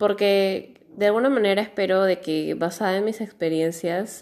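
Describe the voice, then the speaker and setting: At a fairly slow pace, a woman speaks at medium pitch with ordinary pitch variation on a very clean recording with a silent background. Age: 20s. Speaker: podcast host, communications student. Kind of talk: podcast monologue.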